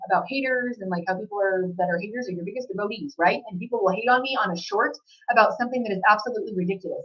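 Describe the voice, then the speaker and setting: Speaking at a very fast pace, a woman with a fairly high pitch uses ordinary pitch variation. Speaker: psychic reader. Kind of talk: channeled reading monologue. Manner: loud.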